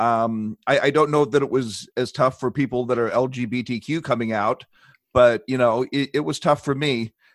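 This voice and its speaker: A man with a normal speaking voice at medium pitch and moderate pace, fairly even intonation, in a very clean, dry, close recording with no echo and a silent background. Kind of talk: casual interview chat.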